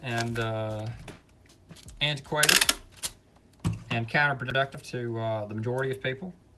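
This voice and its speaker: An American accent with fairly even intonation over noticeable background noise. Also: man. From Alabama, US South. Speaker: live streamer and clothing reseller. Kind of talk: casual chat.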